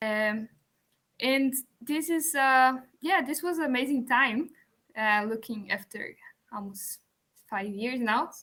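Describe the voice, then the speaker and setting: In a Portuguese accent and a bright, sharp tone, a speaker talks very slowly with ordinary pitch variation and long, frequent pauses. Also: woman, high pitch for a woman. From Brazil. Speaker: music student and composer. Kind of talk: conference presentation. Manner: halting.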